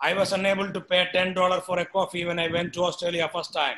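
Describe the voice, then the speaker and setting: In an Indian accent, a man speaks at a moderate pace with a high pitch, a bright, sharp tone and monotone, flat intonation. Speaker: professor; professor lecturing. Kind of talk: lecture. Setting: video call. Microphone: video call.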